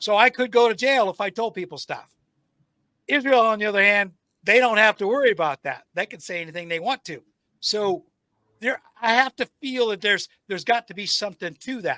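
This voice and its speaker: On a very clean recording with a silent background and a dry, close sound with no echo, a man with an American accent projects a raised voice at a fairly quick pace, high in pitch with a bright, sharp tone and ordinary pitch variation. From United States. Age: 60s. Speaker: podcast host and military veteran. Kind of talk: casual interview conversation. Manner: halting with frequent fillers.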